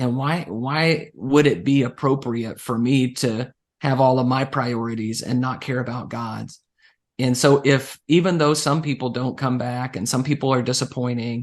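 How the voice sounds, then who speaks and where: A man speaks at a medium pitch and a moderate pace against a quiet background, with fairly even intonation. It is an unremarkable speaking voice. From Central Texas. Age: 40s. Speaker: evangelist. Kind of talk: interview.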